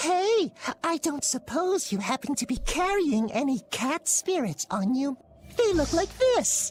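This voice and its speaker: A female-sounding cartoonish character voice, high in pitch with very wide pitch swings, moves at a fairly slow pace over faint music in the background. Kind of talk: anime game dub. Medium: video game. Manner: cutesy, pun-filled, melodramatic.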